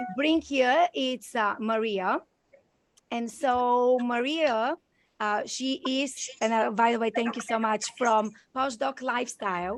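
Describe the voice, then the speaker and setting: Speaking very slowly, a woman talks with a Bulgarian accent. Her pitch is high, with ordinary variation. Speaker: podcast and live stream host. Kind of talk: live video chat interview. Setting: video call. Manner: effusive, many fillers.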